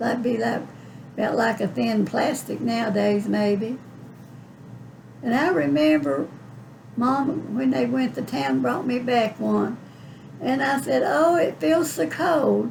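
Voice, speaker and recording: A woman with an Appalachian accent at fairly high pitch, with very wide pitch swings, a very slow pace and long, frequent pauses. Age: 80s+. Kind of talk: interview answer. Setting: home. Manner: folksy, reminiscing.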